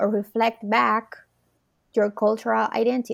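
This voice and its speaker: A woman with a Spanish accent, fairly high-pitched, at a moderate pace, on a very clean recording with a silent background. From Puerto Rico. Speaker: podcast host and psychotherapist. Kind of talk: interview conversation.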